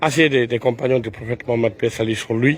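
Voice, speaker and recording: His intonation holds fairly even throughout. This man's voice sits at a medium pitch. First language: Pular (Fula) (speaking French). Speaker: Islamic preacher. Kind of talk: guided tour talk on pilgrimage. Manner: halting, many hesitations.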